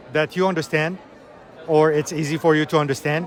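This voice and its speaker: A man with an Arabic accent speaks at a fairly high pitch and a moderate pace with fairly even intonation. Noticeable background noise runs behind him. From Iraq. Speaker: English teacher. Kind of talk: conference interview.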